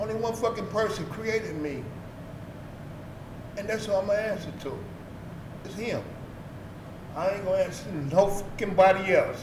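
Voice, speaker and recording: With long, frequent pauses, a man talks at a moderate pace in a high pitch with ordinary pitch variation, over noticeable background noise and audible room echo. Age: 60s. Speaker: former street figure and youth sports coach. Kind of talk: interview. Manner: blunt and profane.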